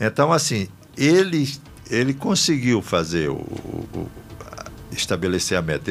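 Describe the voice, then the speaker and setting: A man speaks at a fairly slow pace in a medium pitch. There is noticeable background noise. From Brazil, Rio Grande do Norte (Northeast). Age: 60s. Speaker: politician. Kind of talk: radio interview. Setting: radio studio.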